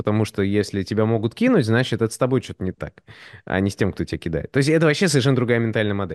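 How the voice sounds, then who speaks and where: Talking at a very fast pace, a man uses a fairly low pitch and lively intonation. The sound is dry and close with no echo, over a quiet background. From Moscow, Russia, partly raised in the US. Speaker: designer and 3D artist. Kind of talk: casual podcast conversation.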